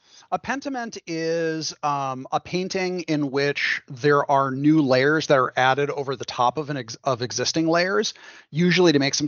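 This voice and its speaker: A man's fairly high voice at a moderate pace, with ordinary pitch variation and hardly any pauses. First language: English (speaking German). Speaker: game developer. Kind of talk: interview.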